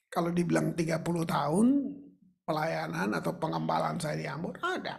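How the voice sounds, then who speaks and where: In a space with audible room echo, a man speaks at a moderate pace. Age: 70s. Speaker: pastor. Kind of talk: sermon. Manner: conversational, informal.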